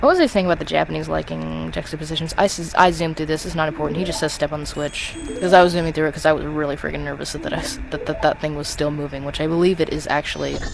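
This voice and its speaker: A man talks at a very fast pace with hardly any pauses. Noticeable background noise can be heard. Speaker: video game let's player. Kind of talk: gameplay commentary. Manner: stutters, mixes up words; off the cuff, rambling.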